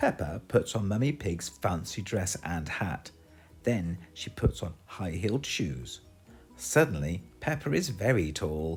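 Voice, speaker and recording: Music plays in the background as a man with a British accent speaks at a fairly slow pace in a very deep, low pitch. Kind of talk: children's picture book read-aloud. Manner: upbeat, friendly.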